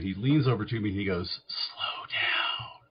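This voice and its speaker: A man speaks in a fairly low pitch. His intonation is lively. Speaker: psychiatric nurse practitioner. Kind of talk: interview conversation. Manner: fast.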